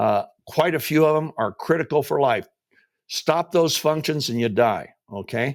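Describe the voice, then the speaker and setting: This man's voice sits fairly high for a man, with vocal fry and ordinary pitch variation at a moderate pace. The recording is very clean, with a silent background. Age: 70s. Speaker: company founder and product promoter. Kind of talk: sales pitch. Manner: casual and conversational with frequent fillers.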